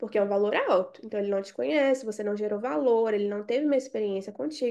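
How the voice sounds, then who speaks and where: A woman with a dark, mellow tone and lively intonation against a quiet background. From Brazil, Belo Horizonte. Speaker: sales and marketing mentor. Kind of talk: online group coaching session. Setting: live video call.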